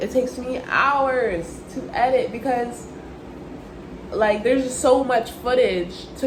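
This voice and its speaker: Amid noticeable background noise and audible room echo, a woman speaks high-pitched in an animated tone. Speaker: vlogger. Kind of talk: casual vlog talk. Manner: occasional stutter.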